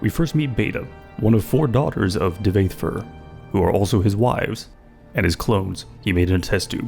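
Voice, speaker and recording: Music plays behind a man speaking at a moderate pace. His fairly low voice has lively intonation. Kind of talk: video game commentary.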